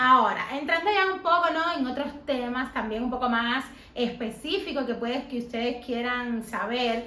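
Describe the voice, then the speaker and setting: With audible room echo, a woman talks at a high pitch and a moderate pace, using ordinary pitch variation. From Cuba. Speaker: YouTuber interviewing her mother. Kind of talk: casual interview.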